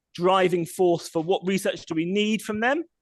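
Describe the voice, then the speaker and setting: The sound is dry and close with no echo, carrying a voice with a British accent. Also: man. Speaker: sustainable mobility researcher. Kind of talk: presentation with slides. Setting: public meeting. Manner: fast.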